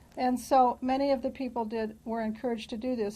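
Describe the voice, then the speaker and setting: A woman's high-pitched voice, dark and mellow in tone, with fairly even intonation, a fairly quick pace and a quiet background. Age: 60s. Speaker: interviewee in oral history. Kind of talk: oral history interview. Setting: office building interview on camera.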